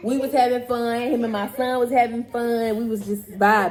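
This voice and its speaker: A woman with an animated tone speaks at a moderate pace in a high voice, with noticeable background noise. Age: young. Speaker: YouTube couple co-host. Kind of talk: casual chat.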